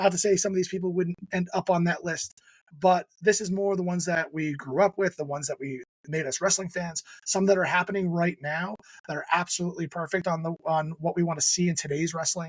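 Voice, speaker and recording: A man with a New Jersey accent, high-pitched and fairly quick, with fairly even intonation and a dry, close sound with no echo. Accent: New Jersey American. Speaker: podcast host. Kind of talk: casual chat. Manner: fast.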